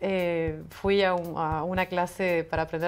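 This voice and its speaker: With a Buenos Aires accent, a woman speaks in a fairly low pitch and fairly even intonation while music plays in the background. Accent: sounds like a Buenos Aires native. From Senegal, French family, then Iran and Paris. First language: French (speaking Spanish). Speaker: writer. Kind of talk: interview.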